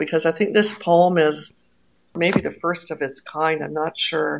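A woman speaks with a Canadian accent. It is an ordinary speaking voice, fairly low in pitch. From Canada, Toronto. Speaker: poet and university lecturer. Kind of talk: interview; reading aloud.

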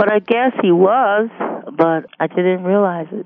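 A woman with a Detroit accent at a moderate pace. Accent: Northern US (Detroit). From US Midwest. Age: 60s. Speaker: substitute teacher. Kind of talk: biographical interview. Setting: phone call.

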